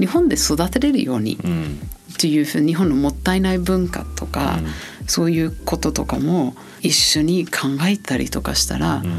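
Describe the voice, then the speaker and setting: The woman here talks at a moderate pace. Behind her voice is noticeable background noise. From New Zealand. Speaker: marketing executive. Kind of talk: interview.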